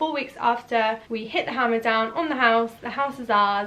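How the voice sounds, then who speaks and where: With a Norfolk accent, a woman speaks in an animated tone at a fairly high pitch. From eastern England, Norwich. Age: 20s. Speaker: vlogger and hairdresser. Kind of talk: casual Q&A vlog. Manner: chatty, animated.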